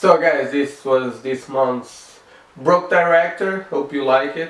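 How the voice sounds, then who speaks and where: A man's fairly high voice at a very slow pace, with ordinary pitch variation and noticeable background noise. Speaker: DIY filmmaking video creator. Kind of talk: casual talk to camera.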